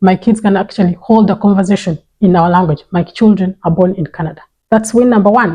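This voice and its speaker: A woman with a Ugandan accent speaks at a fairly quick pace and a medium pitch. Her tone is dark and mellow, somewhat breathy, with fairly even intonation. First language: Runyankore Ruchiga. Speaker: parenting vlogger. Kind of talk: vlog monologue.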